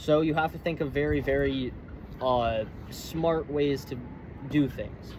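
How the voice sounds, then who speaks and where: A man's fairly high voice, broken by long, frequent pauses, against noticeable background noise. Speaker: living history reenactor. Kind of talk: tutorial. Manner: halting, with restarts and fillers.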